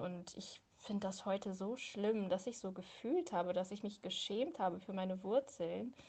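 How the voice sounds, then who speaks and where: Fairly slow, somewhat breathy speech with ordinary pitch variation. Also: woman. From Hildesheim, Lower Saxony, Germany. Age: 20s. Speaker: personal testimony contributor. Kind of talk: testimony.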